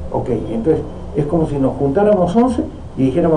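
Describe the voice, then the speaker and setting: A man with a fairly high pitch and lively intonation talks at a fairly quick pace, with audible room echo and noticeable background noise around him. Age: 60s. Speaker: politician. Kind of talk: political talk. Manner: halting.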